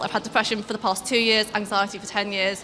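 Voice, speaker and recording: A fairly high-pitched woman speaking at a very fast pace, with noticeable background noise. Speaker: student election candidate. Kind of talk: campaign speech.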